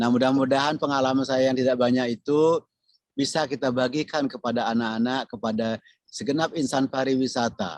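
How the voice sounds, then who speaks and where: A man's medium-pitched, plain, everyday voice at a fairly quick pace, with very even loudness over a quiet background. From Bali. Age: 60s. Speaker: tourism professor, retired government official. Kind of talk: podcast interview.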